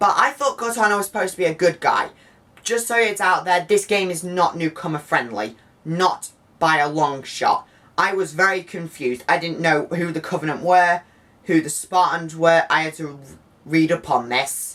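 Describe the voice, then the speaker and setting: The intonation is lively. The pace is moderate. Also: woman, fairly low pitch for a woman. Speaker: video game reviewer. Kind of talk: video review. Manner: animated; halting.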